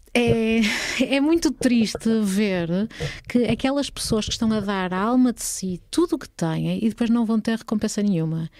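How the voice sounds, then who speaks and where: Moderate pace, lively intonation and a dark, mellow tone from a woman at medium pitch, on a very clean recording with a silent background. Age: 40s. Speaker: former party politician and lawyer. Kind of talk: casual interview.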